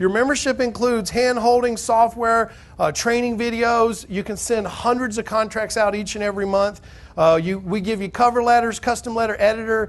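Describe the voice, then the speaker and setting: A loud man with a high pitch and a Southern US accent. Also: fairly quick pace. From Alabama. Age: 30s. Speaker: real estate investing seminar speaker. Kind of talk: sales pitch. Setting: stage with audience. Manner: animated.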